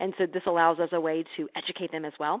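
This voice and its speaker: At a moderate pace, the talker uses an ordinary speaking voice with an American accent. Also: woman. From US Midwest, Missouri. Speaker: healthcare marketing presenter. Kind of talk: webinar presentation. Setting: online webinar.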